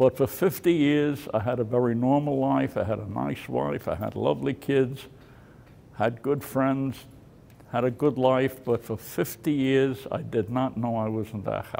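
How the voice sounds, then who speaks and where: A man's dark, mellow tone unfolds at a fairly slow pace. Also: medium pitch for a man, ordinary pitch variation. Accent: New York. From New York City, Brooklyn; New York City. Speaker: war veteran. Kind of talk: testimony. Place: hall. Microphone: studio mic.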